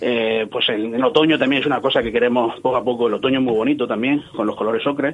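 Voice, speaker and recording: Very fast speech from a man, with noticeable background noise. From Cieza, Murcia, Spain. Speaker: marketing company founder. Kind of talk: radio interview. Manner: animated.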